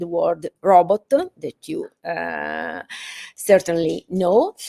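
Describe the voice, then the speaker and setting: A woman's medium-pitched voice with a dark, mellow tone and an Italian accent. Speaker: professor. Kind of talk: lecture. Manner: halting, many fillers.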